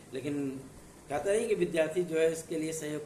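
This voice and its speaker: A man's fairly high voice at a moderate pace, with noticeable background noise and audible room echo. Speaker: exam news presenter. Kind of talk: informational video talk.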